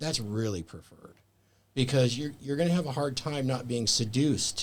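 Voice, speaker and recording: A man's medium-pitched voice, with ordinary pitch variation and a moderate pace. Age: 60s. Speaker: author and men's mentor. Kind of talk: casual chat.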